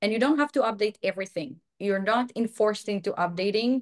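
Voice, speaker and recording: Over a quiet background, a woman talks at a fairly quick pace with ordinary pitch variation in a dry, close sound with no echo. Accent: Israeli. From Israel. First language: Hebrew. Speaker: software quality director and online course instructor. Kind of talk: webinar Q&A.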